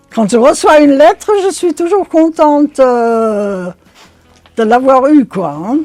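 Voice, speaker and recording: Very slow, high-pitched speech from a woman, with very wide pitch swings, music in the background and a dry, close sound with no echo. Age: 80s+. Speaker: autograph collector. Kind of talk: interview answer.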